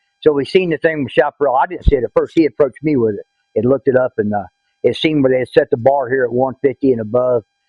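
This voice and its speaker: With a Southern US accent, a man speaks at a very fast pace in a medium pitch. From Florida, US South. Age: 60s. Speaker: hunter. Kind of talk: interview testimony. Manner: halting, many fillers.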